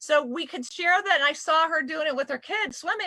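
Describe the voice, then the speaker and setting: With an American accent, a woman uses a raised, projected voice that has a bright, sharp tone and lively intonation. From southern California. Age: 50s. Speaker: panel moderator. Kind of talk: live panel discussion. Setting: video call livestream.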